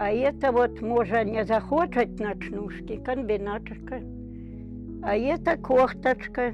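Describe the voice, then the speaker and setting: A woman speaking at a very slow pace over background music. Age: 80s+. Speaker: village pensioner. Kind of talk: interview answer. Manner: cheerful, matter-of-fact.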